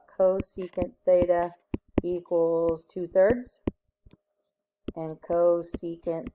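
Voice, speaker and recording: A woman's dark, mellow voice, fairly low in pitch, very slow, with fairly even intonation and a dry, close sound free of echo. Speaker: high school math teacher. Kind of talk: recorded lesson. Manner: casual.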